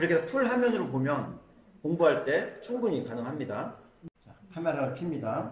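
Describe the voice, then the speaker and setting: A man speaks in a fairly high pitch with very wide pitch swings. Room echo is audible, along with noticeable background noise. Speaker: smartphone skills instructor. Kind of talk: classroom lecture. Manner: fast.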